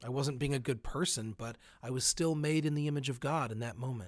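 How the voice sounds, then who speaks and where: In a very clean recording with a silent background, a man with a plain, everyday voice and fairly high pitch speaks at a moderate pace with ordinary pitch variation. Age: 40s. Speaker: pastor. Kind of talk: spoken reflection.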